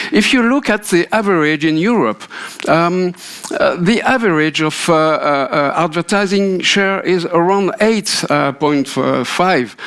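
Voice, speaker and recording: A man with a French accent speaks at a fairly slow pace in a high pitch, with lively intonation and very even loudness, over noticeable background noise. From France. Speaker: radio industry consultant. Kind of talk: keynote speech. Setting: conference stage with audience. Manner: halting, many fillers.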